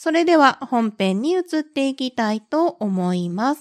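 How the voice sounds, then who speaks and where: A woman speaks at a fairly slow pace with lively intonation. The recording is very clean, with a silent background and a dry, close sound without echo. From Kansai, western Japan. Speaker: podcast host. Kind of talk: casual solo chat. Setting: recording at home. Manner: relaxed, laid-back.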